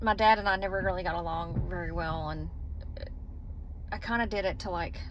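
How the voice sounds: A woman talks at a fairly quick pace. Her pitch is fairly low, with ordinary pitch variation.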